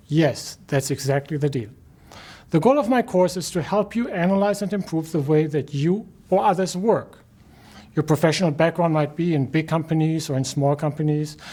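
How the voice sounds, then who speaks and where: A man with a German accent and a dark, mellow tone speaks at a fairly high pitch, moderate pace and ordinary pitch variation. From Germany. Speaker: professor. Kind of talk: lecture. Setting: recorded video lecture.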